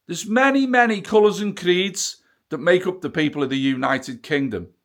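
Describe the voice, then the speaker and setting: This man speaks at a moderate pace. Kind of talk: casual rant to camera. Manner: angry, profane.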